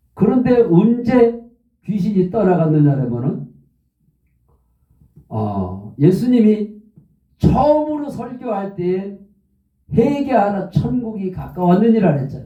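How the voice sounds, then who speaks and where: A man's high-pitched voice with a dark, mellow tone, very wide pitch swings, a very slow pace, long and frequent pauses, and audible room echo. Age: 70s. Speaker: pastor. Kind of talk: sermon.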